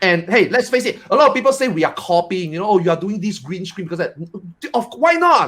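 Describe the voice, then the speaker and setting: Loud and very fast, a man talks at a high pitch with very wide pitch swings. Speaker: streamer. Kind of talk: casual panel chat. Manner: expressive.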